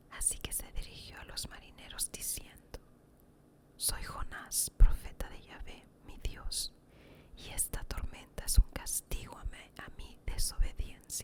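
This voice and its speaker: Whispering in a calm tone, a woman speaks at a fairly slow pace with big swings in loudness. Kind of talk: ASMR Bible story narration. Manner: relaxing, calm.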